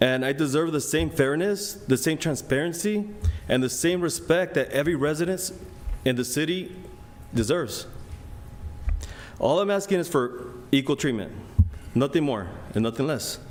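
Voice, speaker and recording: In a room with audible echo, a man with a non-native accent speaks at a moderate pace in a fairly high voice, with lively intonation and long, frequent pauses. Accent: foreign. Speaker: resident making public comment. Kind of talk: public comment speech. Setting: city council meeting. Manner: halting, with fillers.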